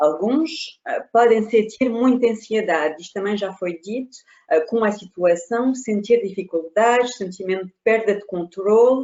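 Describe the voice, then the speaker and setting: Her intonation is lively, and she has a non-native accent. The woman speaks at a fairly slow pace with a medium pitch. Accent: foreign accent in Portuguese. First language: not Portuguese (speaking Portuguese). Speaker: consultant. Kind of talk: webinar presentation. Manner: halting.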